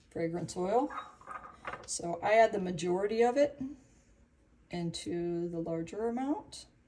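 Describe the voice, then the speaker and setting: The speech moves at a very slow pace. Noticeable background noise can be heard throughout. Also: woman. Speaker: soap maker. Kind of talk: tutorial.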